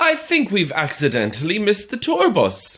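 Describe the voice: A man puts on a character voice with a high pitch and very wide pitch swings. His tone is fairly bright and his pace is moderate.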